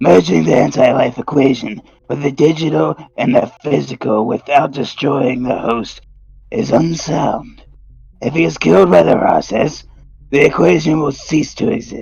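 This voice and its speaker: A man puts on a character voice. It is raspy and sits at medium pitch. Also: moderate pace. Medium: audio drama. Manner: obsequious, sinister.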